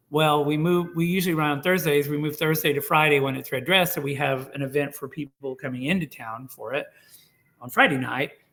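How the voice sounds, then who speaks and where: Having a normal speaking voice, a man with an American accent talks at a fairly quick pace, his fairly high pitch held in fairly even intonation. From Oklahoma (Tulsa). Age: 60s. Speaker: oral history interviewee. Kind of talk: casual interview conversation. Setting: video call.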